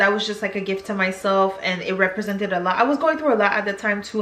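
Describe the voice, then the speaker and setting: A woman's voice with music in the background. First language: French. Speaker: YouTuber. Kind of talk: casual vlog chat.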